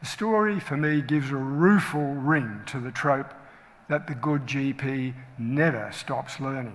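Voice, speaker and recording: In an Australian accent, a man speaks at a fairly slow pace. His voice is fairly high in pitch, with ordinary pitch variation. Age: 70s. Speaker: general practitioner and medical educator. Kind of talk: talk to colleagues.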